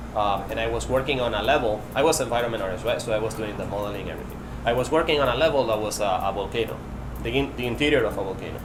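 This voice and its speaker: Someone talks very fast in a Spanish accent with ordinary pitch variation. Noticeable background noise and audible room echo fill the recording. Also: man, medium pitch for a man. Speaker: game technical artist. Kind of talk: interview. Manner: halting.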